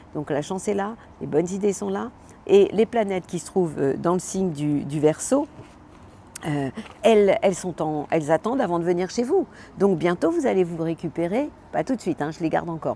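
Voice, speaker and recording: At a moderate pace, a woman speaks with a fairly low pitch and lively intonation, leaving long, frequent pauses. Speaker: astrologer. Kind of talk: weekly horoscope monologue. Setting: outdoors. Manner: animated.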